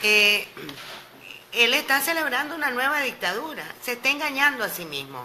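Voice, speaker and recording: A woman's raised, projected voice, high-pitched with ordinary pitch variation and big swings in loudness, at a moderate pace over noticeable background noise. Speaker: opposition politician. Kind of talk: radio interview.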